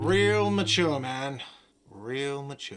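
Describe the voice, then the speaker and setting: A man shouts in a whiny, put-on character voice at medium pitch. There is audible echo. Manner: whiny, shouting.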